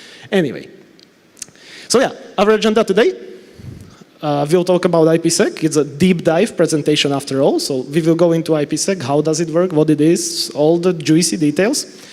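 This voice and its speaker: A man's high-pitched voice with a Slovak accent, fairly quick and with ordinary pitch variation, over noticeable background noise. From Slovakia. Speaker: network engineer and trainer. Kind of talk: conference talk. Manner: fast.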